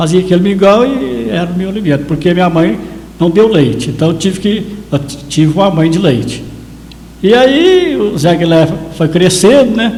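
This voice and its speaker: A man's high-pitched voice at a moderate pace, with noticeable background noise and audible room echo. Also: lively intonation. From Brazil, Minas Gerais, Carmo do Paranaíba area. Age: 70s. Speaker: photographer and local historian. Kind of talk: interview storytelling.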